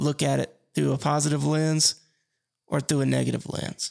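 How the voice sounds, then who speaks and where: A man with an Alabama accent talks at a moderate pace in a dry, close sound with no echo. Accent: Southern US (Alabama). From US South, Mobile, Alabama. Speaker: podcast host and financial advisor. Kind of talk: casual solo podcast monologue.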